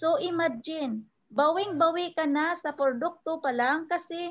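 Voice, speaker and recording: Extremely high-pitched female voice, ordinary pitch variation, quiet background. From Philippines. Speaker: overseas Filipino worker, network marketing trainer; network marketing trainer. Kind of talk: sales presentation. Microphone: video call.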